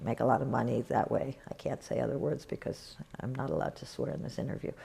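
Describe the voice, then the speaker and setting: A woman talking at a very fast pace amid noticeable background noise. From New York. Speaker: nonprofit cofounder. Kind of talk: interview. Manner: animated, conversational.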